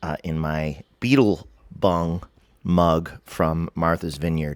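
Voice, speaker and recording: A man speaks at a very slow pace with a very deep, low pitch. The recording is very clean with a silent background. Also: ordinary pitch variation. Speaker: author and vlogger on dreams. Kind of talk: casual monologue.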